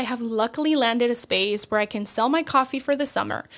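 A woman's voice over noticeable background noise. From Mexico, born in León, Guanajuato. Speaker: podcast host and coffee business owner. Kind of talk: solo podcast monologue.

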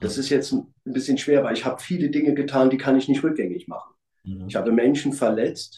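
A man with a plain, everyday voice, fairly high pitch, ordinary pitch variation and a fairly quick pace. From East Berlin, Germany. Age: 50s. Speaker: former hooligan. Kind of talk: testimony.

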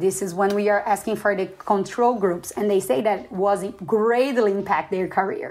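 Speaking with a Portuguese accent, a woman uses a medium pitch with ordinary pitch variation. Noticeable background noise runs underneath. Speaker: postdoctoral researcher, entomologist. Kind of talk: casual podcast interview.

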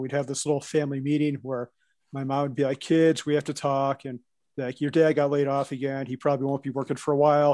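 A man with a Midwestern US accent, fairly high pitch and a fairly quick pace over a quiet background. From US Midwest. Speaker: co-working space owner and investor. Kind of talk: casual podcast interview. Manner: nervous at first with new people.

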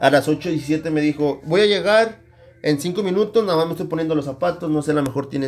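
With a normal speaking voice, a man's fairly high pitch shows ordinary variation as he talks at a fairly quick pace. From northern Mexico. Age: 20s. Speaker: podcast host. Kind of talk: casual chat.

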